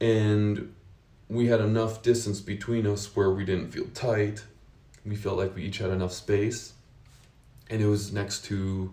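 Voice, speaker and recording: A man with an American accent talks at a fairly slow pace and a fairly low pitch, his tone dark, mellow and somewhat breathy, his intonation fairly even. Audible room echo surrounds the voice. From United States. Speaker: vlogger sharing personal experience. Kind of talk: personal testimony, casual unscripted monologue. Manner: casual with frequent fillers and restarts.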